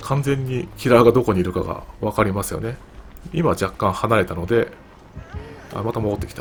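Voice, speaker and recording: A man talks at a moderate pace. His voice sits at a medium pitch. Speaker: gameplay commentator. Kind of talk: game commentary.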